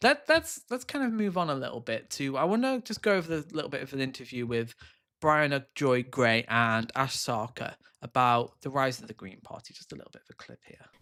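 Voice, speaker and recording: In a very clean recording with a silent background, a man with a British accent talks at a fairly quick pace in a bright, sharp tone, his loudness swinging widely. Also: fairly high pitch for a man. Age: 30s. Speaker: political livestreamer. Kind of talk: live political commentary. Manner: animated.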